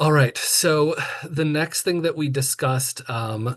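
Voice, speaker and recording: A man sounds somewhat breathy, and nothing intrudes from the quiet background. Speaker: committee member presenting plan. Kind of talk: public meeting presentation. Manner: fast.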